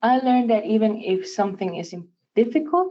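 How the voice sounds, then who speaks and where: The speaker has a Spanish accent and talks at a fairly quick pace. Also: woman. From Puerto Rico. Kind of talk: scripted speech. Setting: virtual event.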